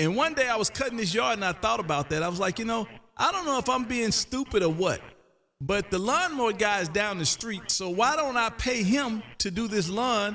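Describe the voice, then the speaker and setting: A man with an American accent talks in a raised, projected voice at a high pitch. His intonation is lively and his pace fairly quick. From US South (Canton, Mississippi). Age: 50s. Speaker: ham radio live streamer. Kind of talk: casual chat. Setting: radio room, live stream.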